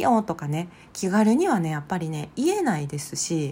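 A woman's dark, mellow, somewhat breathy voice with very wide pitch swings. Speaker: psychological counselor and podcast host. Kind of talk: solo podcast monologue.

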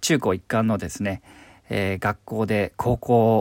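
On a very clean recording with a silent background and a dry, close sound with no echo, a man with a plain, everyday voice speaks at a fairly slow pace. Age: 30s. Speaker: stage actor and voice actor. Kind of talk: solo podcast monologue.

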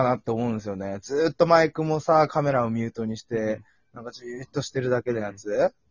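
A man talking at a fairly quick pace. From Japan, Yamagata. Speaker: podcast co-host. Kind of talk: casual chat. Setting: home recording, remote call. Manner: animated.

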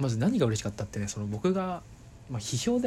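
The voice is dark and mellow, somewhat breathy, and moves at a very fast pace. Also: man. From Kanto, Japan (Saitama/Tokyo). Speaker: podcaster. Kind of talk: casual monologue. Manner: halting, many fillers.

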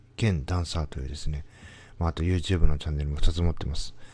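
A man's very deep, low voice with a dark, mellow tone and ordinary pitch variation, on a very clean recording with a silent background. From Tokyo, Toshima (Minami-Otsuka). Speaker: company president, podcaster. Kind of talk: solo monologue podcast. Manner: hesitant, many fillers.

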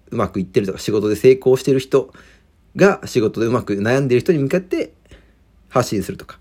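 The speaker is a man with medium pitch. His tone is dark and mellow. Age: 20s. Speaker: podcaster. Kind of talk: solo monologue. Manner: casual, filler-heavy.

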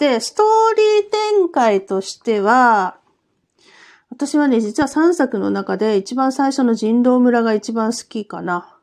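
With lively intonation and a fairly high pitch, a woman talks at a fairly slow pace. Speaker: podcaster reviewing escape games. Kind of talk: casual solo talk.

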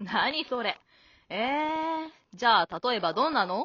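A woman speaks in a put-on character voice at a fairly slow pace, with lively intonation. Her pitch is fairly high and her tone fairly bright, with a slightly husky edge.

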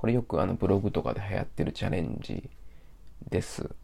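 There is vocal fry in this man's voice as he talks at a moderate pace. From Japan, Osaka. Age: 30s. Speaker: podcaster. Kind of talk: solo casual monologue.

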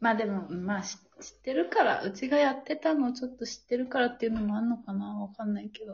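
At a very fast pace, a woman speaks with fairly high pitch, ordinary pitch variation and big swings in loudness. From Japan. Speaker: podcast host, graduate student. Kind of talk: casual chat.

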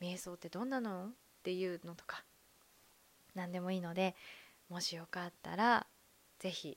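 At a moderate pace, a woman speaks with fairly even intonation, big swings in loudness and long, frequent pauses. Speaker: podcaster, former call center worker. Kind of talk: casual monologue.

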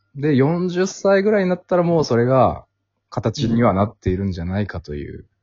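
A man talks at a fairly quick pace and a medium pitch. His pitch swings very widely, and his loudness shifts a lot. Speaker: podcast host. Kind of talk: casual chat.

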